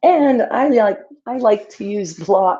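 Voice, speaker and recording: Using a put-on character voice, a woman speaks at a very slow pace in a medium pitch, sounding strained, with lively intonation. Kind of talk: instructional, as in a yoga class. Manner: strained, talking while moving.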